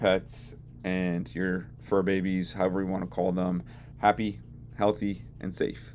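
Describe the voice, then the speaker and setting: This man has a very deep, low voice with vocal fry and speaks at a fairly slow pace. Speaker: veterinary technician. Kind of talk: educational talk to camera.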